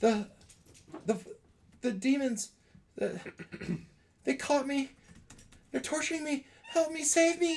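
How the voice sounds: A man's put-on character voice at an extremely high pitch, with lively intonation, a slow pace, and long, frequent pauses.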